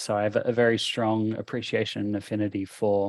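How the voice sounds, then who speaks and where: Over a quiet background, a man talks at a moderate pace. His fairly low voice has monotone, flat intonation. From Australia. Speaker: conference speaker, tech leader. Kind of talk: conference talk. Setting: stage with audience. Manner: halting, many repeated words.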